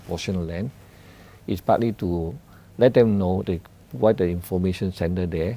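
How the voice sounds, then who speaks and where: A man's very deep, low voice with a dark, mellow tone. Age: 60s. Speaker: property developer, managing director. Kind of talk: interview answer.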